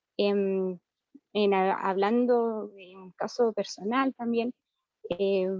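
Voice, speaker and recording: A woman's voice with fairly even intonation. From central Chile, Valparaíso region countryside. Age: 30s. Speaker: rural community member, wetland defender. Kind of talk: panel presentation.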